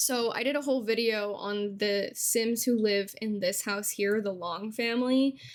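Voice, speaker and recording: In a normal speaking voice, a woman talks fairly slowly with hardly any pauses, her pitch fairly high and her intonation fairly even. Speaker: Sims gameplay content creator. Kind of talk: casual talk to camera.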